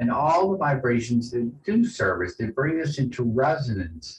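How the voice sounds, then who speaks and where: A man with an American accent, medium pitch, a somewhat breathy voice, lively intonation and a moderate pace. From US South, New Orleans. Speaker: poet and sound musician. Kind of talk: casual interview chat. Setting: video call from home music room. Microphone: rough connection.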